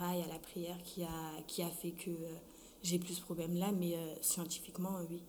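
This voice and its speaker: The voice moves at a moderate pace with monotone, flat intonation, and audible room echo surrounds it. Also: woman, fairly low pitch for a woman. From France (arrived from Congo at 6). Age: 20s. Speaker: student with sickle cell disease. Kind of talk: testimony.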